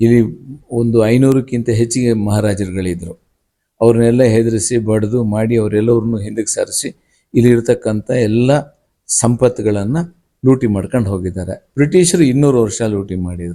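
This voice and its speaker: A man speaks in a dark, mellow tone, his pitch varying in an ordinary way. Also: medium pitch for a man. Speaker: former state minister, politician. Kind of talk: interview. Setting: at his home.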